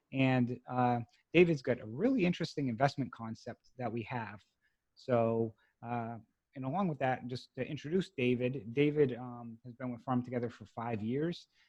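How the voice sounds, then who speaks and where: Speaking at a moderate pace and medium pitch, a man shows ordinary pitch variation and big swings in loudness. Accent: slight Boston. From Massachusetts, US. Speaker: podcast host, note investor. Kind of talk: interview.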